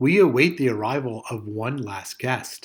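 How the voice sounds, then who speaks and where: A man's cartoonish character voice at a medium pitch, with lively intonation, in a very clean recording with a silent background. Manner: kind, patient.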